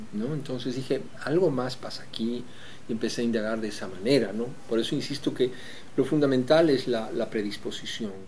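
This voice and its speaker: There is light background noise. The speaker goes at a fairly quick pace with ordinary pitch variation. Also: man. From Bolivia, La Paz. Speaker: composer and orchestra director; interviewee. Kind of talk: reflective interview; interview answer. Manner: halting with frequent fillers and repetitions. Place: home room.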